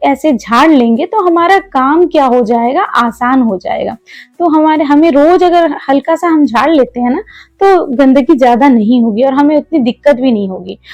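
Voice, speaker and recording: A woman with a Malayalam accent speaks in a high pitch with lively intonation. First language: Malayalam (speaking Hindi). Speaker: homemaker vlogger. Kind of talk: vlog narration and cooking tutorial. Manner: casual, conversational.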